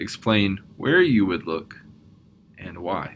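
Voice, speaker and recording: A man speaks at a moderate pace. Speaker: math professor. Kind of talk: recorded conference talk. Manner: soft-spoken.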